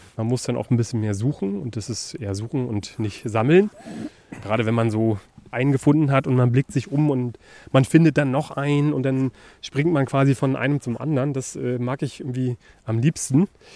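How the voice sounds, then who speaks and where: A man with a dark, mellow tone talks at a medium pitch with ordinary pitch variation and a fairly quick pace. The sound is dry and close, with no echo. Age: 30s. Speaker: podcast host. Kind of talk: casual chat.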